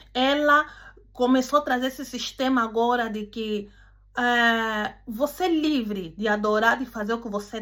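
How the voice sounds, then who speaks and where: On a very clean recording with a silent background, a woman with a non-native accent speaks at a fairly slow pace and fairly high pitch. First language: not Portuguese (speaking Portuguese). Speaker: preacher. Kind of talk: sermon. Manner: halting.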